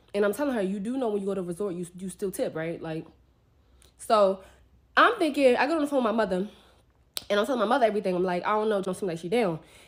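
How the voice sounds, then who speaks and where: A woman with a medium pitch speaks at a very fast pace in an animated tone with lively intonation. Her speech has long, frequent pauses. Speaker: travel influencer. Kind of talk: storytime rant.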